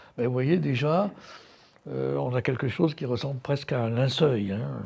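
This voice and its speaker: Fairly slow delivery with lively intonation. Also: man, medium pitch for a man. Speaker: art curator giving a lecture. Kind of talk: lecture. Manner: halting, many hesitations.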